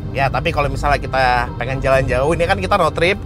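A man is speaking, with clear music in the background. The sound is dry, with no echo. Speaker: car reviewer. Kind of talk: car review commentary. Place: car.

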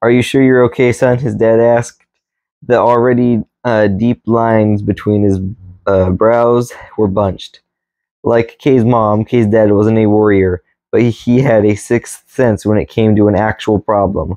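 A man's dark, mellow tone, fairly slow and fairly even in intonation, dry with no echo, over a quiet background. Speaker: reader. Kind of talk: reading aloud from a book. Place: home room. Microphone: camera far.

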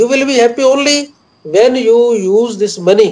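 At a fairly slow pace, the speaker talks with an Indian accent. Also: man. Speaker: poet. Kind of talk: interview. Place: office. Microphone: video call.

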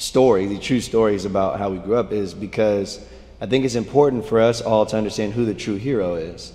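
His pace is moderate and his intonation fairly even. The man's voice sits fairly low. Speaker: church youth leader. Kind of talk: sermon. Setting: stage with audience. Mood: relaxed, warm, light humor. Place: stage.

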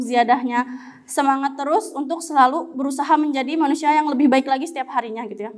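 Against a quiet background, a woman talks at a very fast pace. Her pitch is high and her intonation fairly even. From Riau, Sumatra. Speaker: Quran student. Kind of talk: short religious talk. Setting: mosque after evening prayer. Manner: casual, hesitant. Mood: encouraging, warm. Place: studio. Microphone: handheld.

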